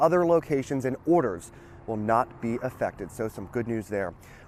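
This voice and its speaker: Talking in a plain, everyday voice, a man keeps a medium pitch and a fairly quick pace. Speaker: TV news reporter. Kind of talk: live TV news report, on-location reporting.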